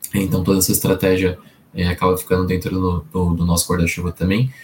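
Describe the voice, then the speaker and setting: A man's somewhat breathy voice with a very deep, low pitch. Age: 20s. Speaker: employer branding professional. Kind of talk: interview.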